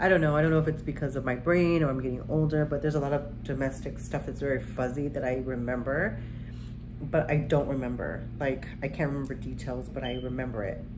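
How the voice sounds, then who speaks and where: Her words come very fast. The woman's voice has audible room echo. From Arizona and military moves. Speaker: beauty vlogger. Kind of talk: casual storytelling during makeup tutorial. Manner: conversational with many fillers.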